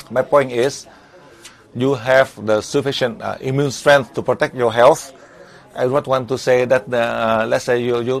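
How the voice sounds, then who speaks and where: At a moderate pace, a man with a Vietnamese accent speaks at medium pitch with monotone, flat intonation. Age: 70s. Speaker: spiritual teacher. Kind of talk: lecture. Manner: halting.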